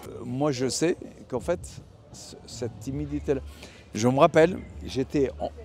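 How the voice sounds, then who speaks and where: Speaking at a fairly slow pace, a man with a dark, mellow tone makes very wide pitch swings. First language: Italian (speaking French). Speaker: artist. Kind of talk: interview. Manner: halting.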